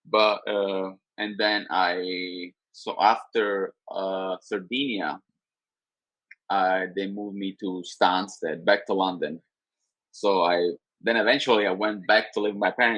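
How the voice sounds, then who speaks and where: A man speaks with an Italian accent. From Sicily, Italy. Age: 20s. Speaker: former flight attendant, pizza maker. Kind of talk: interview answer.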